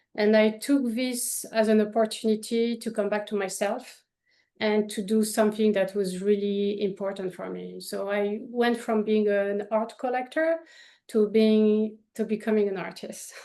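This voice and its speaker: Speaking at a fairly slow pace in a French accent, a woman has a fairly high pitch, a dark, mellow tone and fairly even intonation over a quiet background. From France, Paris. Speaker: painter. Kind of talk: interview.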